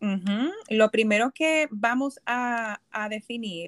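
In a very clean recording with a silent background and a dry, close sound with no echo, a woman speaks with a fairly high pitch and lively intonation. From Puerto Rico. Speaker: psychologist. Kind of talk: casual chat. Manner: halting.

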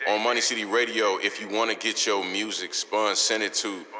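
A man with an American accent speaks at a medium pitch. Noticeable background noise is present. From Chicago, then Indiana and Michigan. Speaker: radio host. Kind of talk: casual radio show chat. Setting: studio. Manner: laid-back, slangy.

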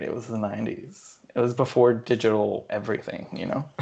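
This man speaks at a moderate pace with a medium pitch in a plain, everyday voice. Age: 20s. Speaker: podcast co-host. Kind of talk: casual chat. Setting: remote call.

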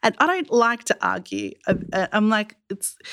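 The speaker is a woman. She talks with an Australian accent. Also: very clean recording, silent background. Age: 30s. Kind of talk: panel discussion, testimony. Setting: studio.

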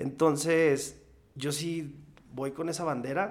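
A man talks in a flat monotone. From Mexico, rural ranch upbringing. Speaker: singer-songwriter. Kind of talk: casual chat.

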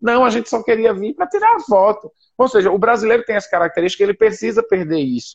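Here a man talks at a very fast pace and a high pitch. His intonation is lively. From Recife, northeast Brazil. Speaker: missionary and social entrepreneur. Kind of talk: casual interview on a live stream. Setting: online live video stream.

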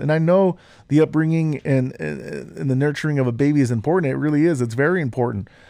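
A man's fairly quick, dark and mellow voice with an American accent, fairly high in pitch, with ordinary pitch variation. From Utah. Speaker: podcast co-host. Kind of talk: casual chat.

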